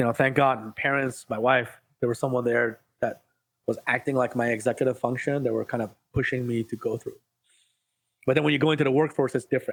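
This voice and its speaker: A medium-pitched man speaks at a fairly quick pace in a monotone, flat intonation. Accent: Iranian. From Iran, moved to US as a child. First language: Farsi. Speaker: ADHD life coach. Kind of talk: podcast interview.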